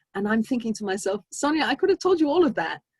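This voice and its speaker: This is a woman speaking with a strong English accent. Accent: English, still strong after decades in US. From England, Brixton, south London. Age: 50s. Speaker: speaker sharing personal story at synagogue. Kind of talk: inspirational talk. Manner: halting, many fillers and restarts.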